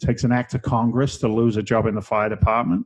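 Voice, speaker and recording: A medium-pitched man talks very fast. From England, London. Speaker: real estate investor. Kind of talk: podcast interview. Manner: repetitive, stammering restarts.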